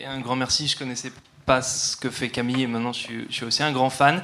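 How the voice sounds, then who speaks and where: With music in the background and audible room echo, a man talks at a medium pitch in a monotone, flat intonation. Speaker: audience member. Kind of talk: audience question. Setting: hall with large audience.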